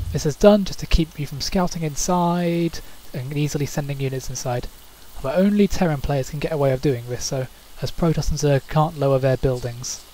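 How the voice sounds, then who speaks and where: Someone with a British accent talks at a fairly quick pace over noticeable background noise. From Britain. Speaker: gaming commentator. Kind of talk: game replay commentary. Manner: fast.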